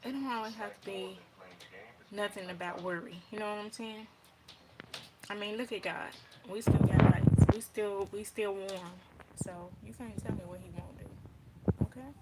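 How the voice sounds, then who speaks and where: Against noticeable background noise, a woman speaks at a medium pitch with ordinary pitch variation. Her loudness swings widely, and she leaves long, frequent pauses. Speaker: vlogger. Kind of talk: casual vlog monologue. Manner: fast.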